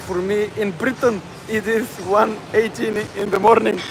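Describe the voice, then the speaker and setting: Noticeable background noise accompanies a voice in a Bulgarian accent with fairly even intonation. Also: man. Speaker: fitness livestreamer. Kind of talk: casual livestream chat. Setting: gym. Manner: halting.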